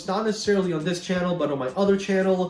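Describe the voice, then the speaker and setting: Against noticeable background noise and audible room echo, a man speaks in a high pitch. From Ukraine, then Canada (southern Ontario). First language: Russian or Ukrainian. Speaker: gaming YouTuber. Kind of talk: Q&A video, casual talk to viewers. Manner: casual, many fillers and hesitations.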